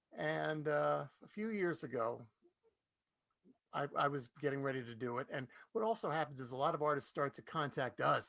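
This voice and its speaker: Moving at a moderate pace, a man talks in an unremarkable speaking voice. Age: 60s. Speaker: folk radio DJ and concert presenter. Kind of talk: introducing a performer at an online concert. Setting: live online concert stream.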